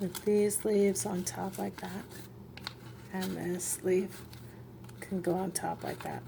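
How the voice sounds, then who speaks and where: Soft-spoken and at a very slow pace, the voice leaves long, frequent pauses over noticeable background noise. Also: woman. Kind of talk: casual crafting talk to camera. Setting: home, refrigerator hum in background.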